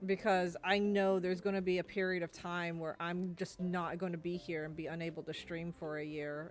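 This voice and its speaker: A woman's fairly low voice at a fairly quick pace, in a monotone, flat intonation. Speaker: gaming streamer. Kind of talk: casual chat.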